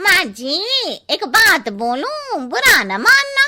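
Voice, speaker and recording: Cartoonish character voice from a woman, extremely high in pitch, very slow, with very wide pitch swings. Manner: blunt, cheeky.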